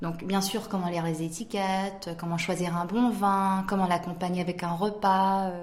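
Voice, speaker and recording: A woman at a moderate pace with fairly even intonation, with noticeable background noise and audible room echo. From South Korea (French-Korean, raised in Korea from age 4). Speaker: wine startup founder. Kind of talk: interview.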